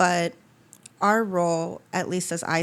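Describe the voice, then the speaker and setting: A woman speaks with a fairly low pitch and fairly even intonation. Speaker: podcast host and funeral home worker. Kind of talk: casual conversation. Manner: fast.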